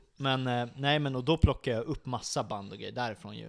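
Against a silent background in a very clean recording, a man talks at a very fast pace. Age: 20s. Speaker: metal band musician. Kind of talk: casual chat. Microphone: close to mic, moved it back.

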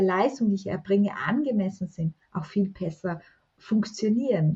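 Here is a woman with an ordinary speaking voice. She talks at a moderate pace and a medium pitch. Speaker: self-love coach and author. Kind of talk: podcast interview.

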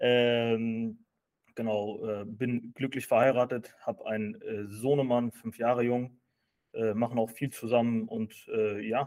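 A man talks at a very slow pace in a monotone, flat intonation. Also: medium pitch for a man. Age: 30s. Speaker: finance content creator and entrepreneur. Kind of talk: casual interview chat. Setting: office. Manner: hesitant with frequent fillers.

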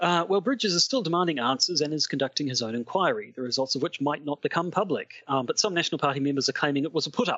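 A man with a New Zealand accent talks at a very fast pace in a fairly high pitch, with lively intonation and hardly any pauses. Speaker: podcast host discussing politics. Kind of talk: casual chat.

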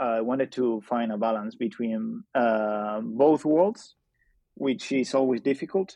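Speaking with ordinary pitch variation, a man uses a medium pitch. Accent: Spanish. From Spain. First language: Spanish. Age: 20s. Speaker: journalist. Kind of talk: interview conversation. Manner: halting.

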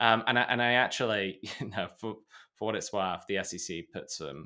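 A man with a British accent, bright, sharp tone and lively intonation, at a moderate pace, on a very clean recording with a silent background. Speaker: podcast co-host. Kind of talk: casual chat, news recap.

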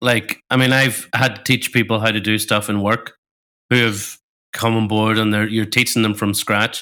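On a very clean recording with a silent background, a man with a Northern Irish accent speaks at a moderate pace in a medium pitch, with a bright, sharp tone, a flat monotone and very even loudness. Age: 40s. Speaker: podcast co-host. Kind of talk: casual chat.

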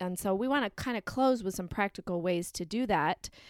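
In a very clean, dry and close recording with a silent background and no echo, a woman speaks in a normal speaking voice at a medium pitch, with lively intonation and a moderate pace. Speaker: podcast co-host and parent. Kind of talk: casual conversational podcast chat.

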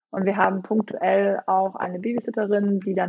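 At a moderate pace, a woman speaks in a plain, everyday voice with a medium pitch and fairly even intonation. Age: 40s. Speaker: startup founder. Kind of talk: interview.

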